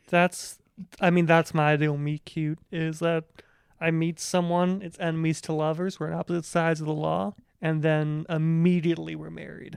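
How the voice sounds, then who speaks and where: In an Ohio accent, a man with a fairly high pitch talks at a moderate pace with monotone, flat intonation. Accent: Ohio twang. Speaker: podcast co-host. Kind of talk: casual chat.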